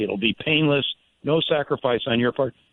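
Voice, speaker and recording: At a moderate pace, a man speaks in an unremarkable speaking voice that sits fairly high in pitch. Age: 60s. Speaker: presidential candidate. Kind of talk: radio interview. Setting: phone call.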